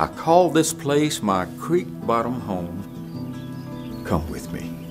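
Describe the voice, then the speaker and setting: Over background music, a man at medium pitch talks very slowly with very wide pitch swings. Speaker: storyteller and author. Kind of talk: storytelling performance.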